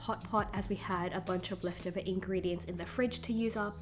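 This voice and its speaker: A woman talks fairly quickly while noticeable background noise is present. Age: 20s. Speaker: vlogger. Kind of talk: casual vlog narration.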